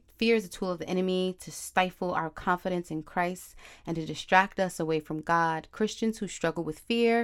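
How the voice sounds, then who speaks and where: Speaking with an American accent at a moderate pace, a woman with a fairly low pitch is heard in a very clean recording with a silent background. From New York City, Harlem. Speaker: podcast host. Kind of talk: casual monologue with prayer.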